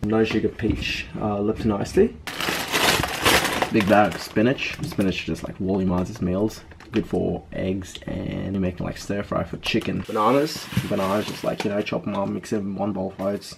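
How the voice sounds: A man with a fairly low pitch, vocal fry, fairly even intonation, and a moderate pace over faint background noise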